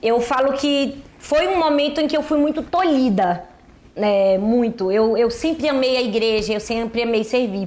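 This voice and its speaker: A woman speaks at a moderate pace in a high pitch. Her loudness stays very even. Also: lively intonation. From Northeast Brazil. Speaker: pastor. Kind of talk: casual chat.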